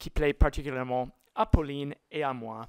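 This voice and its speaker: A woman speaks very slowly with a non-native accent in a very clean recording with a silent background. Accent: foreign accent in French. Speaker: lecturer. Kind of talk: lecture.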